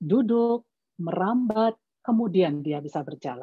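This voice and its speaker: A woman with a Javanese accent, very slow pace and lively intonation. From Java, Yogyakarta (Batak family). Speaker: parenting expert, doctor. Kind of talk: webinar talk. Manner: measured, explanatory.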